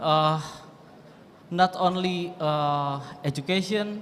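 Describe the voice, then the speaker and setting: A man with an Indonesian accent and a high pitch, at a very slow pace, amid noticeable background noise and audible room echo. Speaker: lecturer asking a question. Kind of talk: audience question at lecture. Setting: university lecture hall. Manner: halting, many fillers.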